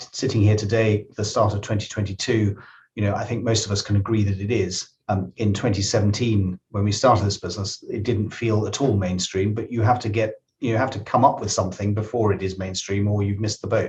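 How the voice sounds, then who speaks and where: With a British accent, the voice moves at a fairly quick pace, somewhat breathy and monotone, with flat intonation. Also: man, fairly low pitch for a man. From UK. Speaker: tech startup founder and CEO. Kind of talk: podcast interview. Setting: studio.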